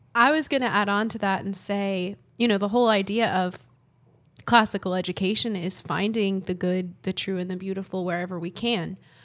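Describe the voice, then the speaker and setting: A woman's normal speaking voice with an American accent, medium pitch, fairly quick pace and fairly even intonation, in a very clean recording with a silent background. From South Florida. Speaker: English teacher. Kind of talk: casual discussion.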